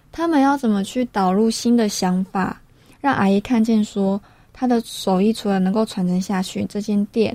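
In a very clean recording with a silent background, a woman speaks at a moderate pace with a fairly high, somewhat breathy voice, a dark, mellow tone and ordinary pitch variation. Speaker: radio co-host. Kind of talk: radio talk show.

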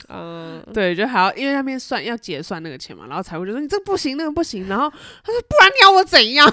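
Talking at a very fast pace with hardly any pauses, a woman's voice shows big swings in loudness. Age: 30s. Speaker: podcast co-host. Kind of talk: casual chat.

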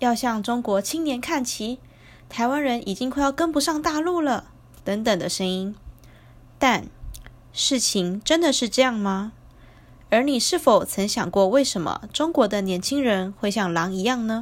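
A woman with a Taiwanese accent talks fairly slowly at a high pitch, using lively intonation and long, frequent pauses. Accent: Taiwanese Mandarin. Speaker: podcast host. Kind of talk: casual monologue.

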